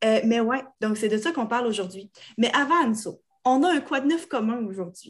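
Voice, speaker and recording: This woman speaks in a Quebec accent at a moderate pace. Her fairly high pitch carries lively intonation. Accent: Québécois French. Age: 30s. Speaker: podcast co-host. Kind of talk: casual chat.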